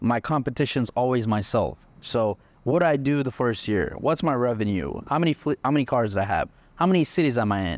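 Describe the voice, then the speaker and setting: In a normal speaking voice, a man talks at a medium pitch and a fairly quick pace with very even loudness. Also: lively intonation. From India, moved to Texas at eleven. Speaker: entrepreneur, car rental business owner. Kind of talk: podcast interview.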